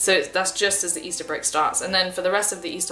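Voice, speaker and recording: A woman with an English accent and medium pitch at a very fast pace, with audible room echo and noticeable background noise. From England. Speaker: university student on year abroad, vlogger. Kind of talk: casual vlog talk. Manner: slurred words; hesitant, many fillers.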